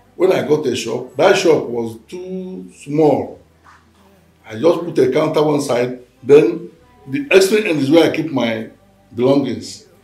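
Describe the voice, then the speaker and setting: Fairly slow delivery with audible room echo and faint music in the background. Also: man. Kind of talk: interview answer. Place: home room.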